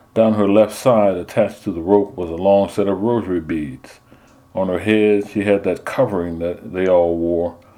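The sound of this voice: What comes through is an unforced reading voice.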